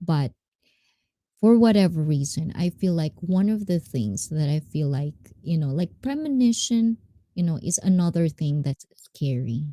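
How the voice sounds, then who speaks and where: A woman with a dark, mellow, somewhat breathy and fairly low voice speaks fairly slowly, her pitch swinging very widely. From Japanese and Filipino mixed heritage. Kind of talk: casual live stream storytelling.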